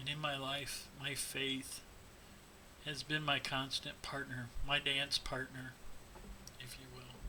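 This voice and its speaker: A man with an American accent speaks very slowly at a fairly high pitch, with vocal fry, a bright, sharp tone, flat monotone intonation, big swings in loudness and long, frequent pauses. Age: 50s. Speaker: teacher with Parkinson's disease. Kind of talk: personal testimony.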